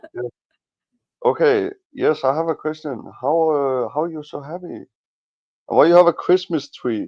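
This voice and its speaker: Speaking with a non-native accent at a moderate pace, a man uses ordinary pitch variation and takes long, frequent pauses. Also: fairly high pitch for a man, big swings in loudness. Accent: foreign. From Denmark. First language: Danish. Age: 20s. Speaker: livestream guest. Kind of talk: casual chat. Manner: halting.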